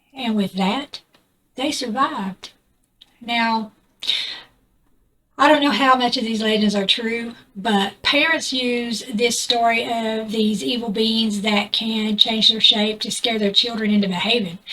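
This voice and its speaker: A woman with a Southern US accent, fairly high pitch, bright, sharp tone, fairly even intonation and a fairly slow pace. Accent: southern US drawl. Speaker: YouTuber. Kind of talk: casual storytelling vlog. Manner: hesitant, with fillers.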